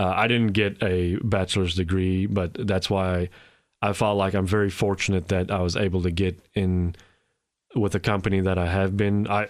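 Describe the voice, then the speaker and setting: Delivered at a moderate pace, the voice stays very even in loudness with a monotone, flat intonation on a very clean recording with a silent background. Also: man. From South Africa. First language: Afrikaans. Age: 40s. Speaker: immigrant guest. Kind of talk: interview. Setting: studio. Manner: halting, repeats words.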